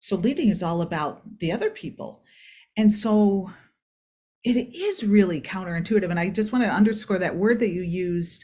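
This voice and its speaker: In a very clean recording with a silent background, a woman with an American accent speaks fairly quickly at a medium pitch, with a dark, mellow, somewhat breathy tone and lively intonation. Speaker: performance psychologist. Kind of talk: podcast interview.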